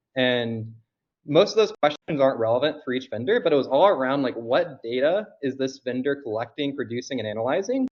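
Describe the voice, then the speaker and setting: At medium pitch and a fairly quick pace, the man speaks with ordinary pitch variation. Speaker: conference attendee giving recap on group call. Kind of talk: conference recap presentation on call. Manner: fast.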